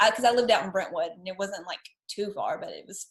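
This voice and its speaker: A somewhat breathy woman's voice at medium pitch, with very wide swings in pitch. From Tennessee. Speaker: podcast host, designer and brand strategist. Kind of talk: casual interview chat.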